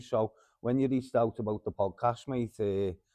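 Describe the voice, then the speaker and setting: In a Liverpool accent, a man with a dark, mellow tone talks at a fairly quick pace. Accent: Scouse. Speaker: mental health group founder. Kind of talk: podcast interview.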